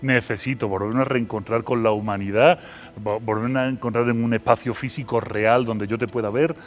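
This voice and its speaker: A man speaks at a fairly quick pace in an Andalusian accent, his medium pitch moving with ordinary variation over music in the background. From Seville, Andalusia, Spain. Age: 40s. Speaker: philosopher and university lecturer. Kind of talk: interview.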